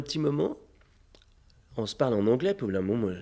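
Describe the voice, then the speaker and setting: A man speaks very fast in a dark, mellow tone with vocal fry and very wide pitch swings. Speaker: festival founder and mayor. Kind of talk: interview. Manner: hesitant, many fillers.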